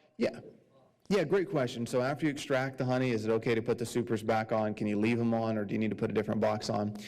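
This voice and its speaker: Speaking very fast, this man keeps his pitch in the medium range. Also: ordinary pitch variation. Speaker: beekeeping club speaker. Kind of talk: club meeting presentation.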